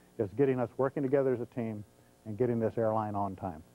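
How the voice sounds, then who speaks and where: This man's voice has a dark, mellow tone and fairly even intonation. He speaks at a fairly quick pace, and the sound is dry with no echo. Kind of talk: corporate address. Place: studio. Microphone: lapel.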